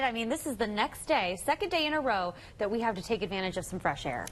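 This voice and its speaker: Very fast, fairly high-pitched speech from a woman, with lively intonation and hardly any pauses. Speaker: news anchor. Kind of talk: TV news anchoring. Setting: studio.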